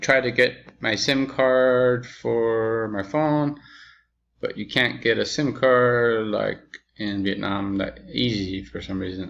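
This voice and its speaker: Ordinary pitch variation from a man, with a quiet background. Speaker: video message sender. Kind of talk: personal video message. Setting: indoors, dim room. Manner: slow; halting.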